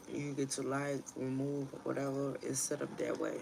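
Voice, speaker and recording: With a slight Ghanaian accent, a woman speaks in a very deep, low pitch and monotone, flat intonation. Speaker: tarot reader. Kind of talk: casual livestream chat. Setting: livestream at home. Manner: casual, profane.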